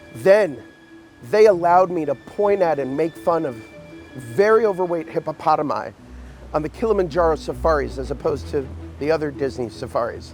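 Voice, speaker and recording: A man talking at a fairly quick clip, with long, frequent pauses and music behind him. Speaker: actor. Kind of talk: comedic narration to camera.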